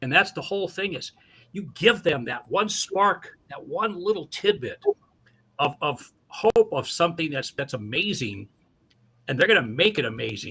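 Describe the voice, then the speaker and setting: This man's high-pitched voice has very wide pitch swings and big swings in loudness. He keeps a moderate pace with a bright, sharp tone. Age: 60s. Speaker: community youth advocate. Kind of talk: radio interview.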